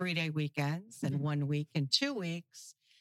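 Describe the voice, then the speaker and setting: A woman with an American accent speaks with ordinary pitch variation in a dry, close recording with no echo. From US Midwest, Naperville, Illinois. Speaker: charity organization president. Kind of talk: casual interview.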